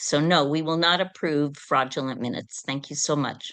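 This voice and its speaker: In a quiet setting, a woman talks with a very deep, low voice. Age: 70s. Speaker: public testifier. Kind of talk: public testimony. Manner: animated.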